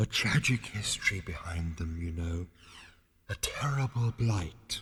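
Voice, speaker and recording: Soft-spoken and at a fairly slow pace, a man uses a put-on character voice with a fairly low pitch and lively intonation, on a very clean recording with a silent background. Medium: read story. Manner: calm, soft-spoken.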